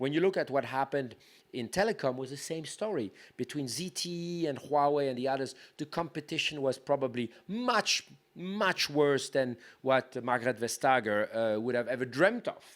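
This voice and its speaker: On a very clean recording with a silent background, a man speaks with a French accent. His fairly high voice moves at a moderate pace with lively intonation. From France. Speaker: tech policy leader, panelist. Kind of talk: panel discussion. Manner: halting, with frequent repetitions.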